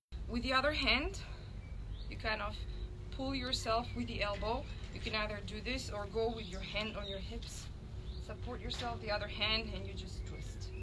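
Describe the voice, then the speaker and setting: A woman keeps a moderate pace but leaves long, frequent pauses, with noticeable background noise throughout. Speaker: fitness instructor. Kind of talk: casual workout instruction. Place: garden. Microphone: camera far.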